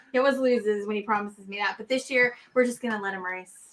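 A woman at a very fast pace with lively intonation, over light background noise. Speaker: co-host, merch and membership helper. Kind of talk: casual chat. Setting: video call. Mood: playful teasing. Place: home room.

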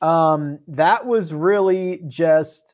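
A man speaks in a Philadelphia accent. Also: quiet background. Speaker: podcast host. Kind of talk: casual chat. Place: home room. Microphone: lapel.

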